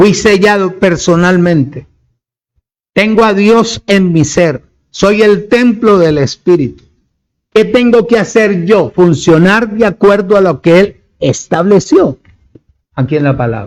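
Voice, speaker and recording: A man with a high pitch speaks at a very slow pace, his intonation lively and his loudness very even. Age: 70s. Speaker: preacher. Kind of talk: sermon.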